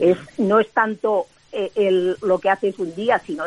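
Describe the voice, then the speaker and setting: A woman with an unremarkable speaking voice talks at a fairly slow pace and medium pitch, with ordinary pitch variation and a dry, close sound with no echo. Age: 60s. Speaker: world champion sprinter and author. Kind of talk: interview.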